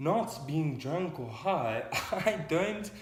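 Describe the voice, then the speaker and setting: Over noticeable background noise and audible room echo, a man speaks with lively intonation. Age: 20s. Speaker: young person in addiction recovery. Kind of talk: casual vlog talk.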